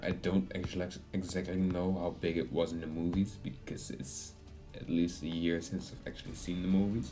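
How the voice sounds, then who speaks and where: Music plays in the background as a man with a very deep, low pitch speaks at a moderate pace. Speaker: game video commentator. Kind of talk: casual gameplay commentary.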